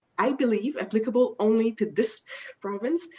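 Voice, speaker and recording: The speaker has a French Canadian accent and a fairly quick pace. The pitch varies in an ordinary way. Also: woman. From Quebec, Canada. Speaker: insurance broker. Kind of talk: webinar presentation. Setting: online webinar.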